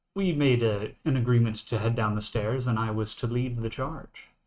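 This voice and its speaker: A man puts on a robotic character voice. His pitch is medium and his pace moderate. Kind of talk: deadpan robot voice. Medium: actual play. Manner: robotic, says what kind of statement it is before speaking.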